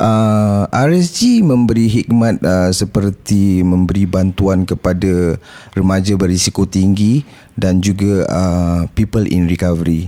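A man speaks very slowly in a very deep, low voice with a dark, mellow tone. His intonation is fairly even and his loudness very even. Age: 40s. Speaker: former drug addict, support group founder. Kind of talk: interview testimony. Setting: studio. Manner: halting, many fillers.

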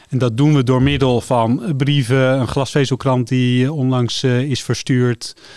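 A man's medium-pitched voice at a fairly slow pace, monotone and flat, very even in loudness, with hardly any pauses. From Netherlands, Amsterdam. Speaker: telecom company director. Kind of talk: radio interview.

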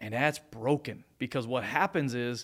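This is a man talking with an American accent. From Las Vegas, Nevada. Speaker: tech startup founder and adjunct professor. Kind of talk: casual interview. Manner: fast talker.

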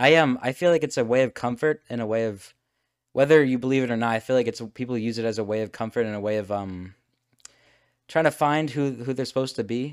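A man with an American accent talks at a very fast pace and a medium pitch, with ordinary pitch variation. The recording is very clean, the background silent. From United States. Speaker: podcast host. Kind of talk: casual chat. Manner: halting.

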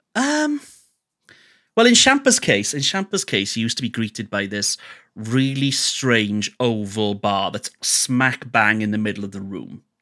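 Recorded dry and close with no echo against a silent background, a man with a Welsh accent speaks at a fairly slow pace in a very clean recording. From Wales. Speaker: radio host and DJ. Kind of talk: casual interview chat.

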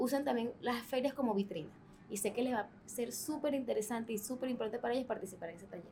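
A high-pitched woman's voice with a dark, mellow tone. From Venezuela. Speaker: podcast host. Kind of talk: interview.

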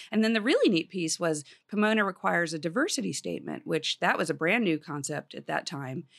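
A woman with an American accent and a fairly low pitch, talking very fast with vocal fry and lively intonation, on a very clean recording over a silent background. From US Northeast, small-town New Jersey. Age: 50s. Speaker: professor. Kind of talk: interview. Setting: studio.

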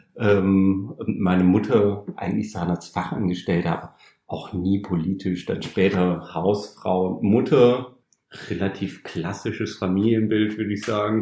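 A man's fairly low, dark, mellow voice at a fairly slow pace with fairly even intonation. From northern Germany, Osnabrück. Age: 30s. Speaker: trainee retail clerk, former carpenter. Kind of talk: interview, personal story.

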